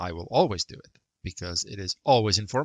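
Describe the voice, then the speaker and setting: A man speaks at a fairly low pitch with vocal fry. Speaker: math teacher. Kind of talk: lecture. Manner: fast.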